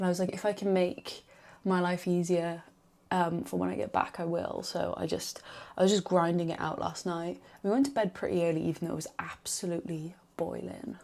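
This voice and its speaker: A woman speaks quietly at a fairly quick pace in a Welsh accent. Her fairly low voice shows ordinary pitch variation in a very clean recording with a silent background. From Wales. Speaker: vlogger. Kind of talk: vlog chat to camera.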